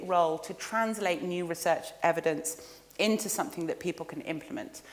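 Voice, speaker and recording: Amid audible room echo, a woman with a fairly low pitch talks at a very fast pace. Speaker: research centre director giving a lecture. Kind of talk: lecture.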